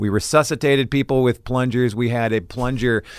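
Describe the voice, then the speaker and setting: Recorded very cleanly against a silent background, an ordinary speaking voice with an American accent proceeds at a moderate pace. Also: man. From Minnesota, US Upper Midwest. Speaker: theater teacher. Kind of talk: interview. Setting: studio.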